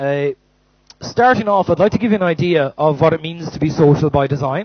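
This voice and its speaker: Talking at a fairly quick pace, a man uses a fairly high pitch. His pitch varies in an ordinary way. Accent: Irish. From Ireland. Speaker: company manager, conference speaker. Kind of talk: conference talk. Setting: stage with audience. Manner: loud.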